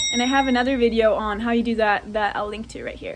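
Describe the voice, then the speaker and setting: Noticeable background noise sits under a woman's voice. Her pitch is fairly high, with ordinary variation. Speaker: wakeboard instructor. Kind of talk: tutorial.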